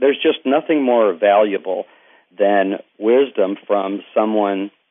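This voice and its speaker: A man speaks with an East Texas accent. His pitch is fairly low and his intonation fairly even. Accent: East Texas Southern US. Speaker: Paralympic athlete and motivational speaker. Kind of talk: interview. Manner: halting.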